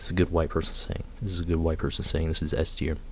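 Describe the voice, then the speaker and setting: A man is speaking. His voice is somewhat breathy. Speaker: youtuber. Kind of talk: casual monologue ranking slang. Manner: halting.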